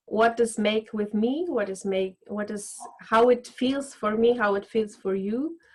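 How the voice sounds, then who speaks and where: In a non-native accent, a woman speaks at a fairly high pitch. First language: not English. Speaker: voice coach. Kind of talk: casual chat. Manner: halting.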